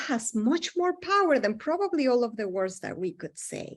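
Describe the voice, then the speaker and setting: Very wide pitch swings at a fairly slow pace against a quiet background. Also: woman. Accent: non-native. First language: not English. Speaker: psychologist presenting to health providers. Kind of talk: lecture.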